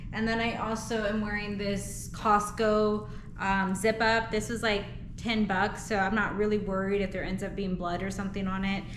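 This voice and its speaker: A woman at medium pitch and moderate pace, monotone and flat, with noticeable background noise and audible room echo. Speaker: vlogger. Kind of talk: personal vlog. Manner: quiet; casual with fillers.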